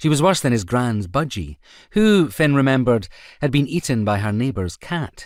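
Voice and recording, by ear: Someone reading aloud in a natural voice gives the lines lively intonation.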